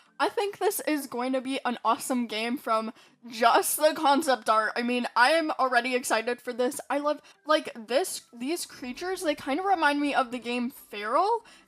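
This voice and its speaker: A woman's high-pitched, animated voice with ordinary pitch variation. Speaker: gaming YouTuber. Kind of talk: casual video commentary.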